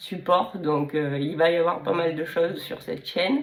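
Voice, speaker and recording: Against noticeable background noise, a woman talks at a fairly low pitch with ordinary pitch variation. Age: 30s. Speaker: illustrator and YouTuber. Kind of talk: casual vlog introduction. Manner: hesitant, many fillers.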